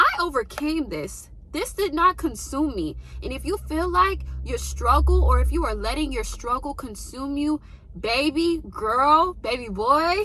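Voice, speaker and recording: A woman speaks at a fairly slow pace in an animated tone, with noticeable background noise. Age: 20s. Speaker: lifestyle vlogger. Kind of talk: motivational talk.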